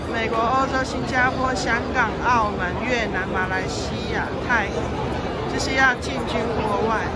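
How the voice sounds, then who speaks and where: A woman speaks at a fairly slow pace with a dry, echo-free sound and crowd noise behind her. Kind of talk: casual vlog commentary. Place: hall. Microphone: phone near.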